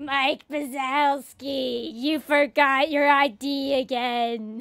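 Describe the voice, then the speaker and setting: A female-sounding, put-on character voice speaks very slowly at a high pitch. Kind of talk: casual stream chat. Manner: scolding, officious.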